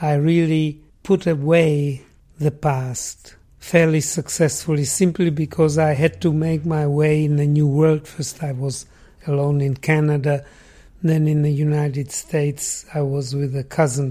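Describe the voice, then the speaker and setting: His voice is fairly high for a man, somewhat breathy and dark, mellow in tone, delivered at a fairly slow pace with monotone, flat intonation. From Czechoslovakia. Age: 80s+. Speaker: architect, Holocaust survivor. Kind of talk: interview. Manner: quiet.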